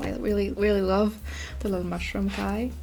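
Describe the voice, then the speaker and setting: The speaker is a woman. She has a non-native accent. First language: not English. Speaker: art YouTuber. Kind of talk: casual sketchbook tour talk. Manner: hesitant, many fillers.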